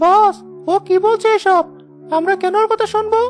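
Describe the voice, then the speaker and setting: Over clear background music, a woman performs a squeaky cartoonish character voice at an extremely high pitch, with very even loudness. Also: moderate pace, fairly even intonation. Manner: nervous, deferential.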